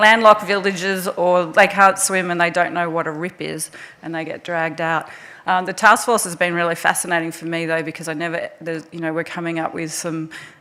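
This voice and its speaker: A woman's fairly low voice in an Australian accent, bright and sharp in tone, flat and monotone, at a fairly quick pace. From Australia (Melbourne). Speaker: resuscitation researcher, task force chair. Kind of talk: conference presentation. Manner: hesitant, many fillers.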